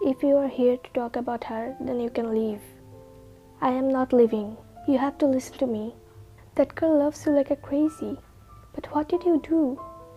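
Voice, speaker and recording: Over music in the background, a woman with a high pitch talks at a moderate pace, leaving long, frequent pauses, with ordinary pitch variation. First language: not English. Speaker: fanfiction narrator. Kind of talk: read story.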